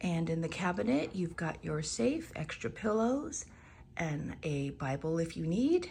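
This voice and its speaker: A woman's dark, mellow, somewhat breathy voice, fairly low in pitch, with very wide pitch swings and a fairly slow pace. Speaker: travel vlogger. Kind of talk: room tour narration. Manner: casual, chatty.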